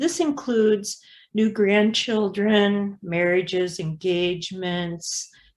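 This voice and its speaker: On a very clean recording with a silent background, a woman speaks at a very slow pace. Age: 70s. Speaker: meeting chair. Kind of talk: meeting.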